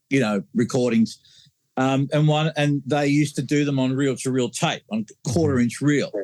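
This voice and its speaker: A man speaks with an Australian accent and a fairly high pitch. His loudness stays very even. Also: ordinary pitch variation, moderate pace. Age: 60s. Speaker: mastering engineer. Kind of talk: casual interview. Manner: halting, many fillers.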